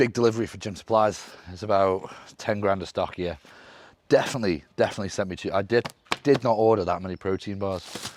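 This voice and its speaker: His voice sits fairly low. The man has an English accent. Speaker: bodybuilder and fitness coach. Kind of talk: vlog. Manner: casual.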